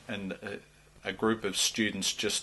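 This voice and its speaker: The speaker talks in an Australian accent. Noticeable background noise runs underneath. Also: man. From Australia, Melbourne. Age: 50s. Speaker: politician. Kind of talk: interview. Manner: halting, many fillers.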